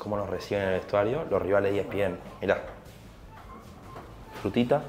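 A man with a Rioplatense accent talks at a fairly quick pace in a fairly low pitch. His pitch moves in an ordinary way over light background noise. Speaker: football channel host. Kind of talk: casual chat. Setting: locker room. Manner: soft-spoken. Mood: playful, ironic. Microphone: lapel.

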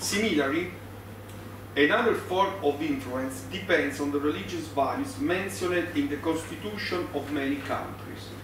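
A man with an Italian accent, fairly high pitch, very wide pitch swings and a moderate pace, with audible room echo and noticeable background noise. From Italy. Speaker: law professor. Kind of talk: conference lecture. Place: meeting room. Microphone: podium.

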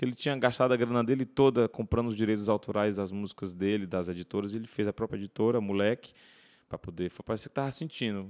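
The speech comes very fast, with ordinary pitch variation and a dry, close sound with no echo. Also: man. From Ceará, Brazil (Fortaleza). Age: 30s. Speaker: singer-songwriter. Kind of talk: interview conversation. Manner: repetitive hesitant fillers.

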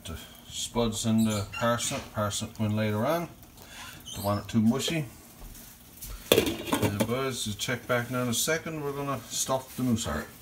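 A man with a Newfoundland accent speaks at a fairly slow pace and medium pitch, with ordinary pitch variation, long, frequent pauses and noticeable background noise. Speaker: YouTuber, home cook and hunter; YouTuber. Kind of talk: casual vlog cooking tutorial. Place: kitchen. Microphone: phone near.

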